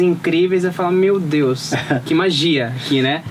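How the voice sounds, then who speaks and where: A man talks at a moderate pace with a fairly high pitch and ordinary pitch variation. Noticeable background noise runs under his voice. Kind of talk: interview host, casual conversation.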